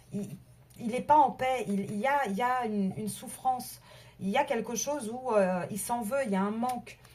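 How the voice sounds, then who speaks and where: The delivery is somewhat breathy, moving at a moderate pace with ordinary pitch variation. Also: woman, fairly high pitch for a woman. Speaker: tarot card reader. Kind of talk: tarot reading video. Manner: halting, many repetitions.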